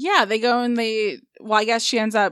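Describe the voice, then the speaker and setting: At a moderate pace, the voice comes across with a dry, close sound and no echo. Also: woman. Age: 30s. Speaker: podcast guest. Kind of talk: casual chat.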